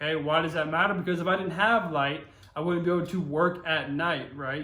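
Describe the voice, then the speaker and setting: With an American accent, a man talks at a very fast pace, and room echo is audible. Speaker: high school history teacher. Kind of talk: recorded online lecture. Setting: home recording during quarantine. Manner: casual, conversational.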